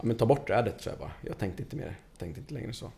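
Speaking at a very fast pace, a man with medium pitch sounds somewhat breathy, with a dark, mellow tone and lively intonation. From Stockholm suburbs (Tensta). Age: 30s. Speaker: construction coordinator. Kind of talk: casual interview.

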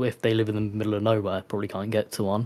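In an English accent, a man with a fairly low pitch speaks on a very clean recording with a silent background. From England. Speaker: disc collector, community member. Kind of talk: casual chat.

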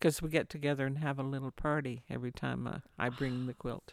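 The recording is very clean, with a silent background and a dry, close sound with no echo. Delivery is fairly quick and monotone, with flat intonation. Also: woman. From Newfoundland, Canada. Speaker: quilting teacher, retired nurse. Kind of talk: interview.

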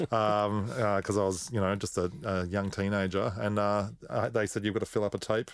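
A man with an Australian accent at a moderate pace, fairly low in pitch, with fairly even intonation and very even loudness. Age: 40s. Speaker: musician and record producer. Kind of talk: casual chat.

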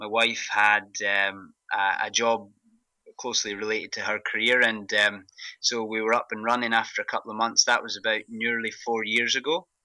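A man with a strong Scottish accent, medium pitch and a bright, sharp tone, at a moderate pace with fairly even intonation, on a very clean recording with a silent background. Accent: thick Scottish. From Scotland, Glasgow. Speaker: pharmacist, running group organiser. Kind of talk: interview. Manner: halting, many fillers.

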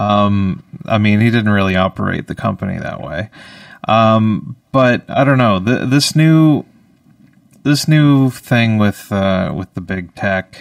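With a Canadian Maritime accent, a man speaks at a very slow pace, his fairly low pitch carried by lively intonation. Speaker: radio host. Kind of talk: live radio comedy show, casual banter. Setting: radio studio, also streamed live on video. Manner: rambling, filler-heavy, joking.

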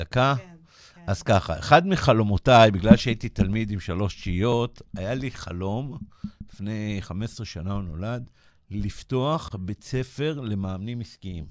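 A man talks at a fairly slow pace and a fairly low pitch, with ordinary pitch variation. His loudness swings widely, and the recording is very clean with a silent background. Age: 60s. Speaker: business coach. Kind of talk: radio interview. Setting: radio studio.

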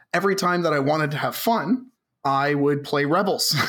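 A man's fairly high voice with a Canadian accent and audible room echo. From Canada, Southern Ontario. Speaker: tabletop wargame player. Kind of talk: casual chat.

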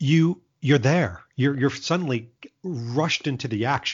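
Lively intonation from a man, his medium-pitched voice somewhat breathy and his delivery moderately paced. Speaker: marketing executive and Bond fan vlogger. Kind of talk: casual interview.

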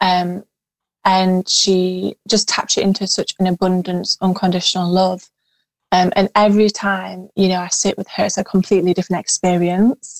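In a very clean recording with a silent background and a dry, close sound with no echo, a woman speaks at a moderate pace with medium pitch and monotone, flat intonation. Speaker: spiritual healer and tarot reader. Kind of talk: casual chat. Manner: passionate, flowing.

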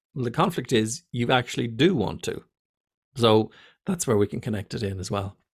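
With an Irish accent, a man speaks at a moderate pace in a medium pitch, his tone animated, his intonation lively, and his voice somewhat breathy. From Ireland. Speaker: fear of flying coach and pilot. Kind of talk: casual interview. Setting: video call.

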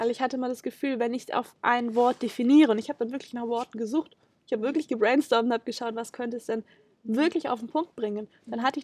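A woman talks at a very fast pace with a high pitch and fairly even intonation. The sound is dry and close, with no echo. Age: 20s. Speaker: documentary film protagonist. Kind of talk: interview. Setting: on location, in person.

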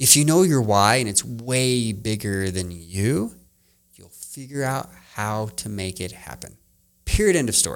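A man with an unremarkable speaking voice talks fairly slowly at a medium pitch. His intonation is lively, and his loudness swings widely. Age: 40s. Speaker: entrepreneur and work-life balance coach. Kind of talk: podcast interview. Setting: studio, in person.

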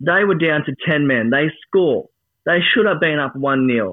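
A man's fairly high voice with an Australian accent, lively intonation and a fairly slow pace. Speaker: football fan. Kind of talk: casual chat. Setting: studio. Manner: animated.

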